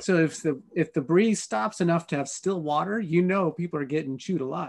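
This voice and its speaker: Against a quiet background, a man with an unremarkable speaking voice talks in an American accent at a fairly high pitch with ordinary pitch variation. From Colorado, USA. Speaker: full-time RV traveler. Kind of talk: interview answer.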